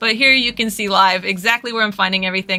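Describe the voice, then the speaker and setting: A woman speaks at medium pitch. Her intonation is fairly even. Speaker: cosplayer giving a design tutorial. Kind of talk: livestream tutorial. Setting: livestream with screen share. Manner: fast; casual, conversational.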